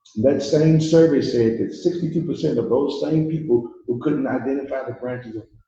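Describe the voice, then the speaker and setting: Somewhat breathy, the speaker moves at a fairly quick pace with hardly any pauses and ordinary pitch variation. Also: man, fairly high pitch for a man. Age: 70s. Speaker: pastor. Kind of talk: public speech at community town hall. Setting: community hall with audience. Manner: impassioned.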